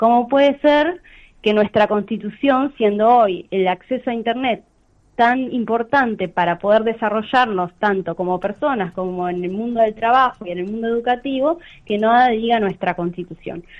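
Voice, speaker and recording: Normal pitch movement from a woman speaking at a medium speed. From Argentina, Santa Fe province. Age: 30s. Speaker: lawyer. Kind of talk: radio interview. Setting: phone call.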